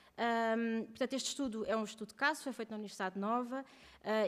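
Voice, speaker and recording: The speaker is a woman. Her pitch is fairly high. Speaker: researcher presenting doctoral thesis. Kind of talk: conference panel presentation. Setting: round table with audience. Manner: fast.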